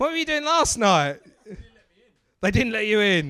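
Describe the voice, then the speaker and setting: A man with an Estuary English accent speaks in a raised, projected voice at a fairly slow pace. His tone is animated, bright and sharp, with very wide pitch swings. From England, Basildon, Essex. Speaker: stand-up comedian, MC. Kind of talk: stand-up crowd work. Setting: comedy club stage with audience.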